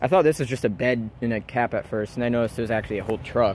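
There is light background noise as a man speaks at a fairly quick pace in a dry sound with no echo. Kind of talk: casual vlog narration. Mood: amazed, excited. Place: forest. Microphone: phone near.

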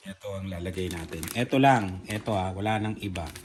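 Audible room echo and noticeable noise in the background, with pitch that varies in an ordinary way. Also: man. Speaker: family vlogger. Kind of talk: casual vlog chat. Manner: animated.

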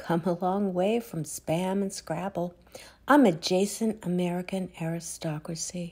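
A dark, mellow, somewhat breathy voice at a fairly slow pace. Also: woman. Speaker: poet. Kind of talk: poetry reading, reflective and wry. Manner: measured, wry, deliberate pacing.

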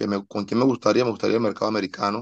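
Against a quiet background, a man with a fairly low pitch uses an ordinary speaking voice with fairly even intonation. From Colombia, Medellín. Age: 30s. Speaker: singer-songwriter and producer; guest. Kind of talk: interview. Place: home room. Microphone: video call.

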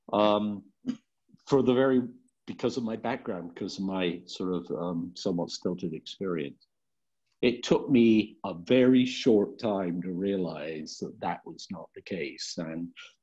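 With a British accent and a dark, mellow tone, the speaker goes at a fairly slow pace with ordinary pitch variation and big swings in loudness against a quiet background. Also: man, fairly low pitch for a man. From UK. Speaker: clean energy board member. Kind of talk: self-introduction at board retreat. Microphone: video call.

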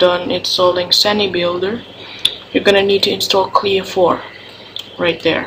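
Fairly slow speech with a non-native accent over noticeable background noise. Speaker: gaming tutorial maker. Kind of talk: casual screen-recorded tutorial.

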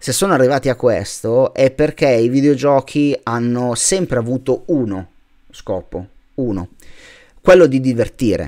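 A man's dark, mellow tone at a fairly slow pace, with long, frequent pauses. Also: medium pitch for a man, ordinary pitch variation, quiet background. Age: 30s. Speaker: YouTuber, gaming channel; YouTuber. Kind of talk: farewell vlog monologue. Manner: halting, frequent repetitions. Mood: heartfelt, grateful farewell. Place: home room. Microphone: webcam.

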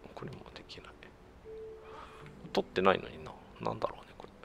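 A man's whisper, broken by long, frequent pauses, with big swings in loudness. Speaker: gamer doing let's play commentary. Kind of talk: casual game commentary.

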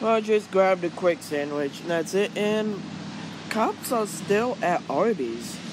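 A man speaks at a fairly slow pace over faint background noise.

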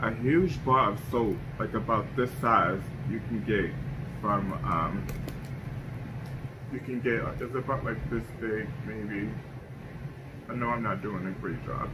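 Fairly slow pace, ordinary pitch variation and clear background noise. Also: man.

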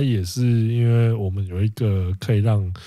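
Very clean and set against a silent background, a man's dark, mellow, fairly low voice unfolds at a very slow pace. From Penghu, Taiwan. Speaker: podcast co-host. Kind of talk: casual chat.

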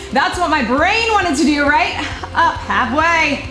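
A woman is heard with clear music in the background and audible room echo. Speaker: fitness instructor. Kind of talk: workout instruction cueing. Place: studio.

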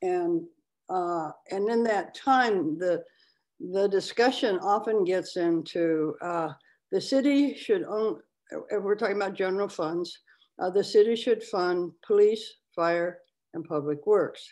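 A woman with a normal speaking voice and a medium pitch talks at a fairly slow pace with ordinary pitch variation over a quiet background. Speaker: advisory board member. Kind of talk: public board meeting. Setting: video call. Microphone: video call.

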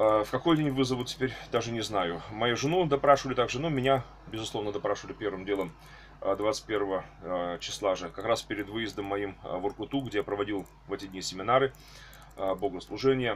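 A man with a fairly low pitch speaks with ordinary pitch variation over light background noise. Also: moderate pace. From Russia, Tula. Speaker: archbishop, clergyman. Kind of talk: video address to followers. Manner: halting, with fillers. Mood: earnest, preacher-like fervor. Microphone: webcam.

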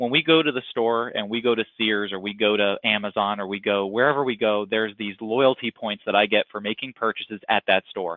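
At a fairly quick pace with hardly any pauses, a man speaks in a normal speaking voice, pitched fairly low with fairly even intonation. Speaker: insurance brokerage manager. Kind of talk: sales webinar presentation. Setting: webinar call.

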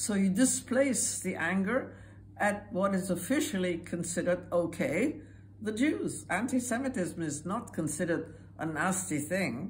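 Very wide pitch swings and vocal fry mark this fairly slow delivery, with light background noise behind it. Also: woman. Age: 80s+. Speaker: Holocaust survivor. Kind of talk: interview answer. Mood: earnest, urgent. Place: home room. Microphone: phone near.

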